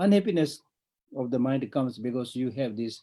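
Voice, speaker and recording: Speaking at a moderate pace with a Tibetan accent, a man has a dark, mellow tone and medium pitch. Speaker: Buddhist monk teacher. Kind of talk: dharma teaching.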